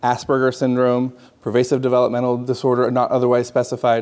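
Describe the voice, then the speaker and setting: A man's medium-pitched voice moves along at a fairly quick pace. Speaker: psychologist. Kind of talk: lecture. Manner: fast; halting, with repetitions and fillers.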